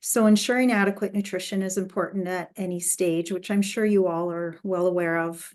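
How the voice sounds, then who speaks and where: Against a quiet background, a woman with an unremarkable speaking voice talks at a moderate pace in fairly even intonation. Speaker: dietitian giving talk. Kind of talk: lecture.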